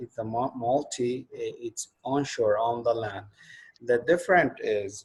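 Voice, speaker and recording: Speaking with an Arabic accent, a man talks at a fairly slow pace. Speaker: course instructor. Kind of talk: online lecture. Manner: halting, many fillers.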